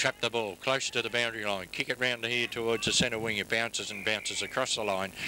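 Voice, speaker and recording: A man with an Australian accent talks at a fairly quick pace, his pitch medium and his intonation monotone and flat. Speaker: football commentator. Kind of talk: live commentary.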